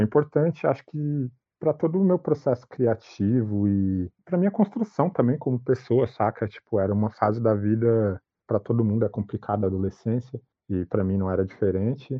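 A normal speaking voice from a man at medium pitch, fairly quick, with lively intonation. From Brazil, São Paulo metro area (Itaquaquecetuba). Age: 30s. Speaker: fashion designer and artist. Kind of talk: interview.

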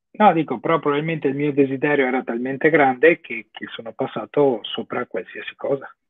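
A man speaks in a plain, everyday voice at a fairly high pitch with ordinary pitch variation. He moves at a fairly quick pace with hardly any pauses and big swings in loudness. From Italy. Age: 30s. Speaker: online course student. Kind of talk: interview on livestream.

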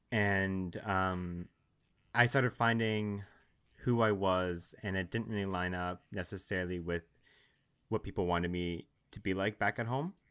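A man with a very deep, low pitch speaks at a fairly slow pace, with long, frequent pauses. His intonation is fairly even, and the recording is very clean with a silent background. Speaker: guest. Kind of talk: casual interview chat.

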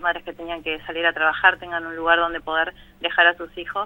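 The speaker is a woman. Her pitch sits fairly low. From Buenos Aires, Argentina (Villa Zabaleta, Barracas). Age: 40s. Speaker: parish community worker in a shantytown. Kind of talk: radio interview. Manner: halting, many fillers.

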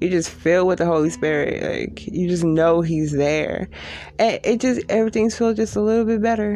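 With a plain, everyday voice, a woman speaks at a fairly low pitch and a moderate pace, her intonation lively and her loudness very even. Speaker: podcast host. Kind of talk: personal reflective monologue. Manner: casual, conversational, confessional.

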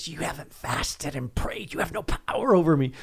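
A man's put-on character voice, fairly high-pitched, with lively intonation, a fairly quick pace and a hissing sound

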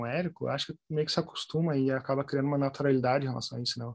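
Talking at a very fast pace, a man with a fairly high pitch keeps a monotone, flat intonation. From southern Brazil, Porto Alegre. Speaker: journalist and translator. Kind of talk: interview conversation. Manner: halting, many repetitions.

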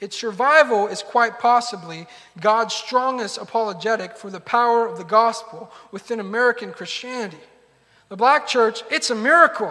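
A man's raised, projected voice at extremely high pitch, with ordinary pitch variation, big swings in loudness and a moderate pace. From United States, Argentine-Peruvian immigrant family. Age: 30s. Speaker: pastor. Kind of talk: sermon.

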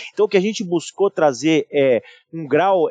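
Dry and close with no echo, a man's high-pitched voice moves at a moderate pace with ordinary pitch variation. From São Paulo, Brazil. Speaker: IT and digital director at a large company. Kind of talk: interview conversation. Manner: halting with many repetitions.

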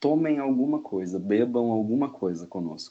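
A man talks in a dark, mellow tone. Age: 20s. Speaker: podcast co-host, linguistics PhD student. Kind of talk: casual chat.

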